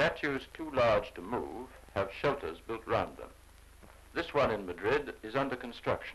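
A man with a British accent delivers his words at a moderate pace. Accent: 1930s British received pronunciation. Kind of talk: 1930s newsreel narration. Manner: formal, measured, authoritative; brisk, clipped, declamatory delivery.

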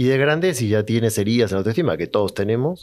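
A man at a medium pitch, with ordinary pitch variation and a quiet background. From Argentina. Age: 40s. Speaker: psychologist; podcast guest. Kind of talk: interview conversation. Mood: calm, reflective storytelling. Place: studio. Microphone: studio mic.

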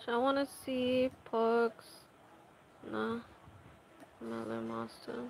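A woman speaks at a very slow pace. Her pauses are long and frequent. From Bangladesh, Dhaka. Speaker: gaming streamer. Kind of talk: live gameplay commentary. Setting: home with loud background noise.

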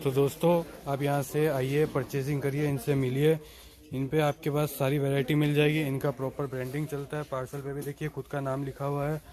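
A man talks at a moderate pace in a monotone, flat intonation, with light background noise behind him. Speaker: market vlogger. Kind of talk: promotional vlog presentation. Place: shop. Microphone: phone near.

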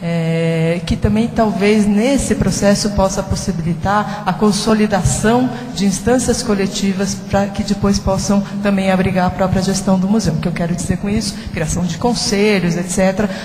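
A woman talking with hardly any pauses, light background noise and audible room echo. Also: fairly even intonation, moderate pace. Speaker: panel moderator. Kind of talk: panel moderation. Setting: stage with audience. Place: hall. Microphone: handheld.

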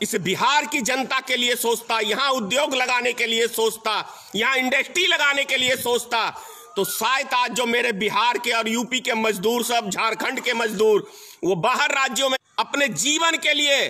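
Raised and projected, a man's extremely high voice moves at a fairly slow pace with ordinary pitch variation and very even loudness. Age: old. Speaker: political activist; speaker. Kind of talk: political speech. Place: home room. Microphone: phone near.

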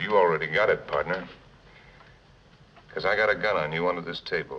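Moderate-paced speech from a man. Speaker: film actor as gunfighter. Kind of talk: film dialogue. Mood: calm, cool, quietly threatening. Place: bar. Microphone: old recording.

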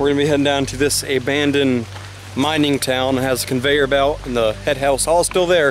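A man's voice sounds dry with no echo, with faint music in the background. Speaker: vlogger. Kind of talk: casual vlog chat. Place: forest. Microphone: phone near.

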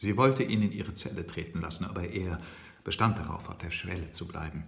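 This man's voice has a very deep, low pitch. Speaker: audiobook reader. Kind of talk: novel reading. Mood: calm storytelling. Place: kitchen. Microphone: phone near.

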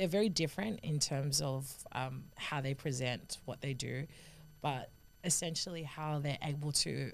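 A woman with an Australian accent speaks at a fairly slow pace. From Sydney, Australia. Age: 20s. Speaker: rugby union player and sports commentator. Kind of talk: podcast interview answer. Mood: warm, thoughtful, lightly humorous. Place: studio. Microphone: studio mic.

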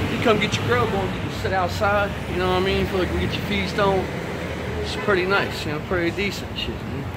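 Loud background noise behind a man talking at a fairly quick pace. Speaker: walking vlogger. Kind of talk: casual vlog chat. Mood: loose, crude, joking. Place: street. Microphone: phone near.

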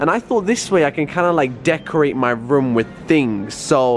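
The man's pace is moderate. Behind his voice, there is light background noise. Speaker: vlogger. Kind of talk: casual vlog chat. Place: shop. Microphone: phone near.

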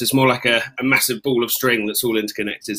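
In an English accent, a man speaks at a fairly quick pace with a medium pitch, a bright, sharp tone and monotone, flat intonation. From England. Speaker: army officer; panel moderator. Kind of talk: panel discussion. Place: home room. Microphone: webcam.

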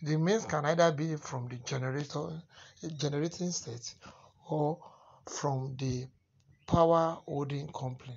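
Somewhat breathy speech unfolds at a fairly slow pace with fairly even intonation and long, frequent pauses. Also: man, fairly high pitch for a man. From Nigeria. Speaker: solar and electrical installer. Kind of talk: tutorial. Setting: voice-over narration of installation video. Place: home room. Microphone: phone near.

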